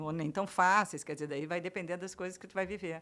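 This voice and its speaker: A woman is speaking. Her tone is bright and sharp. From Brazil. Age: 60s. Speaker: writer. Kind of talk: interview conversation.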